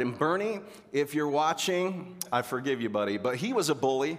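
Over audible room echo, a man talks at a moderate pace with a fairly high pitch and very wide pitch swings. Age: 40s. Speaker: pastor. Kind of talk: sermon. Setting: church. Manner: animated.

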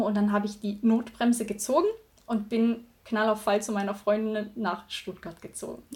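Somewhat breathy and fairly high-pitched, a woman speaks at a fairly slow pace with monotone, flat intonation. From Thuringia, Germany. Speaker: virtual assistant. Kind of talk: casual interview.

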